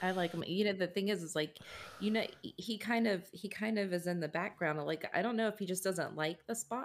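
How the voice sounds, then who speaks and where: A woman speaks at a medium pitch and a fairly quick pace. There is noticeable background noise. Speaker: podcast co-host. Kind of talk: casual podcast chat. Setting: online call.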